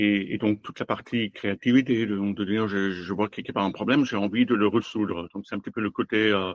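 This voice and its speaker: A man talks at a moderate pace. His pitch is fairly low and his intonation fairly even. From Germany. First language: German (speaking French). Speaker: automotive design executive. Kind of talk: interview. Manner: halting.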